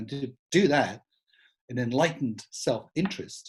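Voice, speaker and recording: A man speaks in a Scottish accent, his voice somewhat breathy. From Scotland, Edinburgh. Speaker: smart city speaker, former tech company employee. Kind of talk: conference talk. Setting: online event. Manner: casual, conversational.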